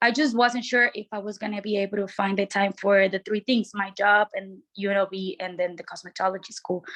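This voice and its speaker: A woman talks at a moderate pace with hardly any pauses, her pitch medium and her intonation flat and monotone. The sound is dry and close, with no echo. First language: not English. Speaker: petitioner before licensing board. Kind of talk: testimony at board hearing. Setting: public board meeting. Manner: halting, many fillers.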